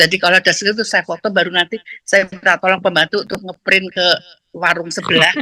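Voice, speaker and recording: A woman with a medium pitch talks at a very fast pace with fairly even intonation. Her tone is bright and sharp, and the sound is dry and close with no echo. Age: 70s. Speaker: student sharing experience. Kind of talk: testimony. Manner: halting.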